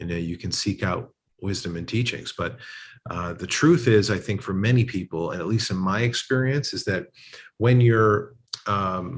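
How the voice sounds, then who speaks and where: Against a quiet background, a man with a fairly low, somewhat breathy voice talks at a moderate pace with ordinary pitch variation. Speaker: relationship coach. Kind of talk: interview answer. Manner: sincere, grounded.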